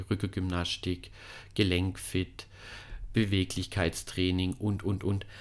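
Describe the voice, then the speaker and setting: In a fairly low pitch, the man talks at a moderate pace, captured on a very clean recording with a silent background. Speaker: physiotherapist and fitness studio owner. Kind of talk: podcast introduction. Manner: hesitant, with frequent fillers.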